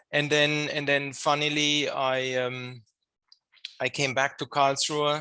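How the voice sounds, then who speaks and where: This man speaks in a German accent with a fairly high pitch. His tone is bright and sharp, and his intonation stays monotone and flat. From Germany. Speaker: engineering professor. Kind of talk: podcast interview. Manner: hesitant, many fillers and repetitions.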